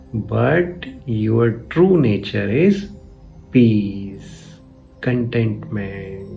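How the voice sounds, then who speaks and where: With music playing in the background, a man speaks at a very slow pace. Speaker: spiritual teacher. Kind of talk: spiritual commentary talk.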